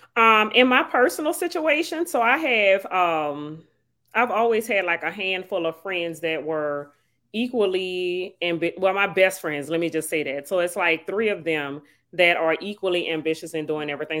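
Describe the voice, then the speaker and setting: A woman's fairly low voice with a New Orleans accent, bright and sharp in tone, at a moderate pace with ordinary pitch variation, on a very clean recording with a silent background. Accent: New Orleans Louisiana. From New Orleans, Louisiana. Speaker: mindset coach and author. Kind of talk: casual podcast conversation.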